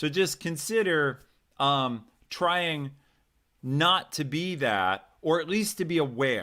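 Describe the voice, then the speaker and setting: A loud voice with a bright, sharp tone and lively intonation. The recording is very clean, with a silent background. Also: man. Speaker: career coach hosting a live stream. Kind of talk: live stream talk with chat. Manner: enthusiastic.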